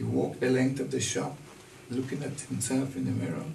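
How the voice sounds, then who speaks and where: Audible room echo and light background noise surround a man's voice. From Caribbean, St. Kitts. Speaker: retired tailor. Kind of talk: oral history interview. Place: shop.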